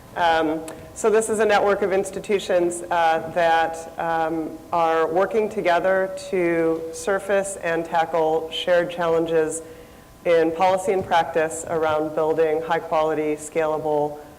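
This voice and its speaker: A woman with a fairly low pitch speaks at a fairly slow pace, with audible room echo and noticeable background noise. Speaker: nonprofit researcher. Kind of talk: conference panel talk. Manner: loud.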